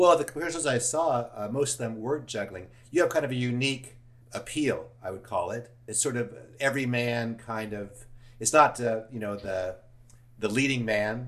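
A man with an American accent in a plain, everyday voice, medium pitch, ordinary pitch variation and a moderate pace. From Los Angeles, US. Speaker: podcast host. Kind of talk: casual interview.

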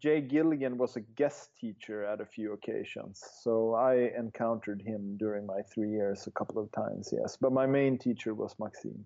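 A man with a Swedish accent talks at a moderate pace and medium pitch, his intonation fairly even. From northern Sweden. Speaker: juggler and juggling historian. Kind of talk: interview conversation.

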